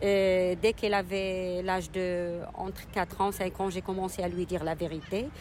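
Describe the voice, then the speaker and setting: A woman at medium pitch talks at a fairly slow pace with hardly any pauses, her intonation monotone and flat. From Morocco, Casablanca. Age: 40s. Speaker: single mother. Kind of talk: testimony. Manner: halting.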